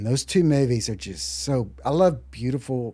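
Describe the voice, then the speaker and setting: A man with a Texan accent and a dark, mellow tone talks at a moderate pace with very wide pitch swings. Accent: Texas accent, noticeable outside Texas. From Texas, Dallas-Fort Worth area. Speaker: musician. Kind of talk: interview.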